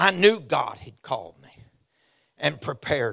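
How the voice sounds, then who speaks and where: A man in a Southern US accent at a fairly slow pace, animated in tone, with very wide pitch swings and vocal fry. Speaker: visiting preacher. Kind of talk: sermon. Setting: church with congregation. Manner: animated, exuberant, call-and-response; loud, preaching in full flow.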